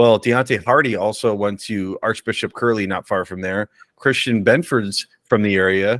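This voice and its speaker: A man's ordinary speaking voice, fairly low in pitch with ordinary pitch variation, at a moderate pace, in a dry, close sound with no echo. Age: 40s. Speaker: sports podcast co-host. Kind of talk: casual chat.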